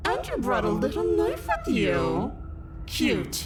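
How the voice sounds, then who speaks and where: Loud music plays in the background while a put-on character voice with a playful tone moves at a fairly slow pace. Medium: video game. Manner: cruel, playful, taunting.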